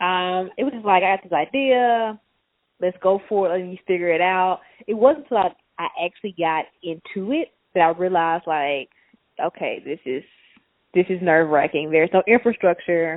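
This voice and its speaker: In a strong Mississippi accent, a woman speaks at a moderate pace with a medium pitch and ordinary pitch variation. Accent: Mississippi Southern, strong. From Mississippi, US South. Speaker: tech entrepreneur. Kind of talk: casual interview.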